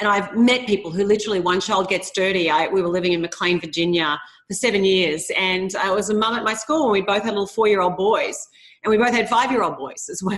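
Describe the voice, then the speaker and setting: Speaking very fast in an Australian accent, a woman keeps a medium pitch with ordinary pitch variation. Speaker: author. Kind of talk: interview.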